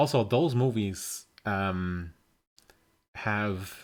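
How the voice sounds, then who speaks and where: A man speaks with a German accent at a fairly low pitch. The recording is very clean with a silent background. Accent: German accent, soft regional dialect flavour. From Germany. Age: 30s. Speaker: streamer. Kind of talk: casual chat. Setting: live stream on Discord.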